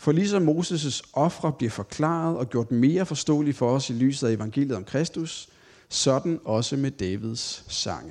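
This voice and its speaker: Lively intonation at a fairly slow pace against a quiet background. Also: man, fairly high pitch for a man. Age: 30s. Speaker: Bible teacher. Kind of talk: Bible study talk. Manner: hesitant, many filler sounds.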